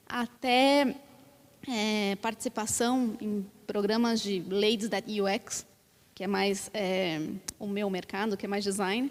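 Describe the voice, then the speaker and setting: A woman with a Brazilian accent speaks at a very slow pace, with long, frequent pauses. Her pitch is medium and her intonation fairly even. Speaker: panelist, design researcher at a tech company. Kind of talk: panel discussion. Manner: hesitant, many fillers.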